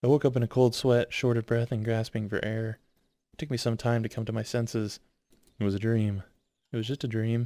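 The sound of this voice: An unforced reading voice is heard with almost no noise around it.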